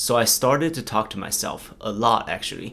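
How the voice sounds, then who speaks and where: A man with a Chinese accent over noticeable background noise. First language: Mandarin Chinese. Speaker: YouTuber. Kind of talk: casual vlog talk to camera.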